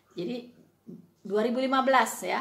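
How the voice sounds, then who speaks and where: A woman talks at a fairly quick pace with ordinary pitch variation. Noticeable background noise is present. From West Sumatra (Minangkabau). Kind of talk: casual video monologue, rebuttal. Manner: hesitant, many fillers.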